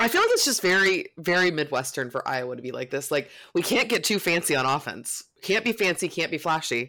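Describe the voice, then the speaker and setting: Animated and fairly quick, a woman with a fairly low, bright, sharp voice makes very wide pitch swings in a very clean recording with a silent background. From Florida, Lakeland area. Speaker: college football fan correspondent. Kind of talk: casual chat.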